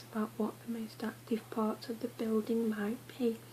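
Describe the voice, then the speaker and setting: Through noticeable background noise, a soft-spoken woman talks at a moderate pace. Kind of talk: ASMR book reading.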